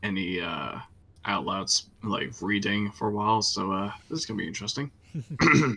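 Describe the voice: This is plain reading aloud. Its pitch varies in an ordinary way.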